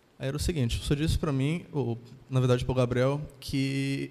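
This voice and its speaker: Speaking at a fairly quick pace, a man uses a normal speaking voice, fairly high in pitch, with fairly even intonation. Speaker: engineering student. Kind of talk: classroom question. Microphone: handheld.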